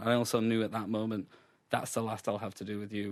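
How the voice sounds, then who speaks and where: A man with a Sheffield accent at medium pitch, talking at a fairly quick pace against a quiet background. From Sheffield, England. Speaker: comedian. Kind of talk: radio interview answer.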